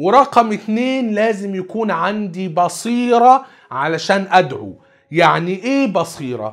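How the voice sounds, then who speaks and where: Against a quiet background, a man with a high voice speaks at a very slow pace with lively intonation. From Egypt. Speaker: Islamic preacher. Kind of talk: religious lecture. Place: studio.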